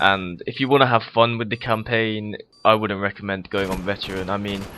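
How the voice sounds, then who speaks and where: Noticeable background noise sits behind a monotone voice with flat intonation. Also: man. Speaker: gaming commentator. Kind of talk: gameplay commentary. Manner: fast; casual, hesitant with fillers.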